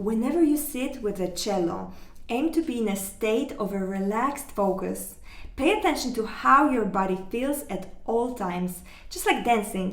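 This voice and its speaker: Lively intonation at a moderate pace. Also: woman, fairly high pitch for a woman. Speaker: cello teacher. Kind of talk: online music lesson talk.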